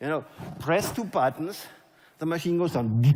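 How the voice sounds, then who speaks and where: Amid noticeable background noise and audible room echo, a man with a German accent speaks at a fairly high pitch, animated in tone, with lively intonation. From Germany. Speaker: network marketing leader. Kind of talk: motivational speech. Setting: stage with audience.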